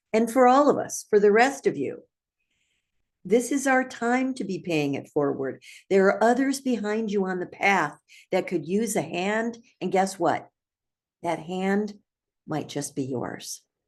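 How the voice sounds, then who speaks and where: Against a quiet background, a woman speaks fairly slowly at a medium pitch with very wide pitch swings and long, frequent pauses. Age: 80s+. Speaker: trainer, speaker, author, coach. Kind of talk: inspirational talk to camera. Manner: upbeat.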